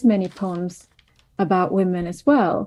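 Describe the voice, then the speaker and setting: Dark, mellow female speech against a quiet background. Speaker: literature scholar. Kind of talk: academic panel discussion. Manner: hesitant, many fillers.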